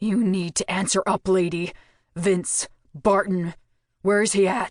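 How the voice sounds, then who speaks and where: A female-sounding speaker growls at a middle pitch in a put-on character voice, moving at a moderate pace. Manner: demanding, menacing.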